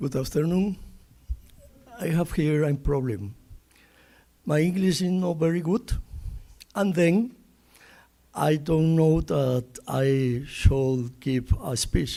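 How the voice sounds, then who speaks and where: A man with a Spanish accent speaks very slowly in a fairly high voice with lively intonation, leaving long, frequent pauses. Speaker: research center director, professor. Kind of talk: welcome speech. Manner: halting.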